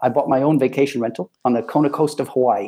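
A man with an American accent talks at a fairly quick pace in a fairly high pitch, his tone dark and mellow with ordinary pitch variation, on a very clean recording with a silent background. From US Midwest, Ann Arbor, Michigan. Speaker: vacation rental company executive. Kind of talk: interview.

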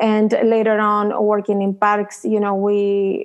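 In a Chilean accent, a woman speaks at a medium pitch with monotone, flat intonation. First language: Spanish. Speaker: tech startup founder. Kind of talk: interview.

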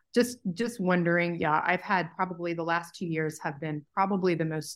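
Fairly low for a woman, an ordinary speaking voice proceeds at a moderate pace. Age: 40s. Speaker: podcast host and nutritionist. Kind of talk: podcast intro and consultation. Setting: video call.

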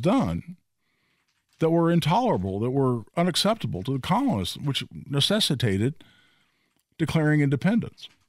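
A man with an American accent speaks at a moderate pace with very wide pitch swings and very even loudness. The recording is very clean, with a silent background. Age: 60s. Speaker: radio host. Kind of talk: talk radio show. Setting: radio studio.

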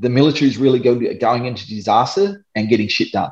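Someone with an Australian accent speaks at a fairly quick pace. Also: man. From Darwin, Australia. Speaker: disaster relief volunteer drone pilot, ex-soldier. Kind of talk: casual interview.

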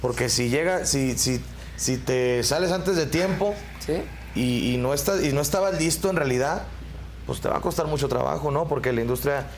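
A man talks at a moderate pace with a fairly high pitch and ordinary pitch variation. His loudness stays very even over noticeable background noise. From Querétaro, Mexico. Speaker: band singer. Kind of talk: interview.

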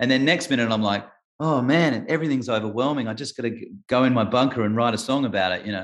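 Very fast speech from a man at medium pitch, with ordinary pitch variation. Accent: Australian. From Adelaide, South Australia. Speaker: singer-songwriter. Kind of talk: casual interview chat. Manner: halting.

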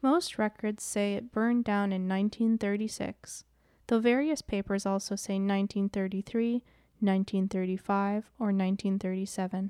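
On a very clean recording with a silent background, a woman speaks very slowly in a medium pitch. Her intonation is fairly even, and the sound is dry and close with no echo. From Wisconsin, US Midwest. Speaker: podcast host. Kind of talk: scripted narration.

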